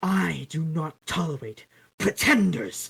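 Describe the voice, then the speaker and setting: Here is a put-on character voice at a middle pitch. It moves at a fairly slow pace. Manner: commanding, intolerant.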